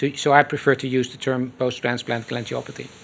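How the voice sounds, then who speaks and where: A man with a Dutch accent at a moderate pace. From Netherlands, Rotterdam. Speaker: transplant surgeon. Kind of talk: lecture.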